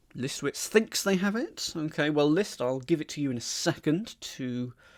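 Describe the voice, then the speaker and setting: A man with an English accent talks at a moderate pace in a fairly high pitch. His intonation is lively, and the recording is very clean with a silent background. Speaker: crossword solver streamer. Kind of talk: live-streamed puzzle solving with chat. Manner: thinking aloud, hesitant.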